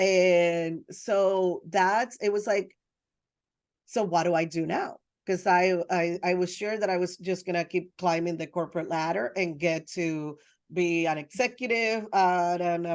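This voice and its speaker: Speaking with a Spanish accent, a woman has a fairly low pitch and ordinary pitch variation. The background is quiet. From Dominican Republic and Puerto Rico. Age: 30s. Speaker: photographer. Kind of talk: interview conversation. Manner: animated.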